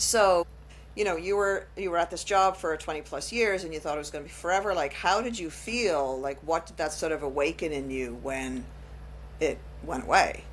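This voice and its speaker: A woman speaks with an Irish accent. Her pace is moderate. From Ireland. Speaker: podcast host. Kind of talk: casual chat.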